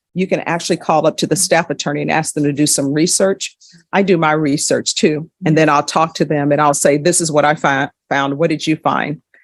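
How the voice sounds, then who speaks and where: A woman with a Louisiana accent talks at a fairly quick pace with hardly any pauses, her very deep, low voice monotone and flat. The sound is dry and close, with no echo. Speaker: judge. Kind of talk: courtroom proceedings with explanatory asides to viewers. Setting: courtroom.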